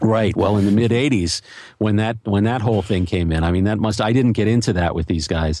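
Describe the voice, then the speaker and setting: A man with an American accent and a plain, everyday voice, fairly low in pitch, at a fairly quick pace with ordinary pitch variation, on a very clean recording with a silent background. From Philadelphia, US. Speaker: journalist and podcaster. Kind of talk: interview conversation.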